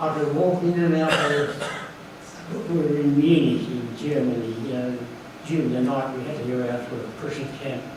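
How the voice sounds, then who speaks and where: A man's speech carries ordinary pitch variation and a moderate pace while noticeable background noise continues behind him. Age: 80s+. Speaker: war veteran. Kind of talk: speech at book launch.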